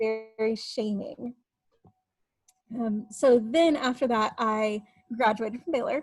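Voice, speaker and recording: Very slow delivery with a slight Texas accent and long, frequent pauses. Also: woman, fairly high pitch for a woman, ordinary pitch variation. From Texas Panhandle / eastern New Mexico border. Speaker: writer and editor. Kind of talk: interview testimony.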